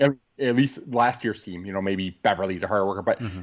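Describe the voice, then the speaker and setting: In a quiet background, a man with an ordinary speaking voice talks at a fairly quick pace with ordinary pitch variation. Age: 40s. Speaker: sports podcast co-host. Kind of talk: casual chat.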